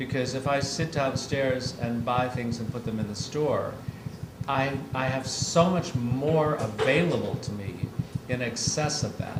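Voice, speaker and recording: A man talks at a fairly slow pace in a medium pitch with ordinary pitch variation. Audible room echo and noticeable background noise surround him. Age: 60s. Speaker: design retailer and gallerist. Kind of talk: public conversation before an audience. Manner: animated.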